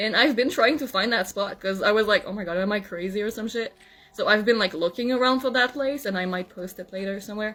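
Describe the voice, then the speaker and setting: Spoken at a very fast pace in a Quebec accent, the voice has ordinary pitch variation over noticeable background noise. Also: woman, fairly high pitch for a woman. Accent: French-Canadian accent in English. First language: French. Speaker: content creator. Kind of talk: casual monologue to camera. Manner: hesitant, many fillers.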